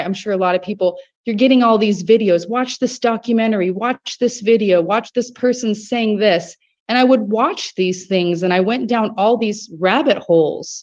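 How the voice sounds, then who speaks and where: This woman has an ordinary speaking voice, fairly high in pitch, with an American accent, ordinary pitch variation and a moderate pace. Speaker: grassroots campaign organizer. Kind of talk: testimony. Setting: video call.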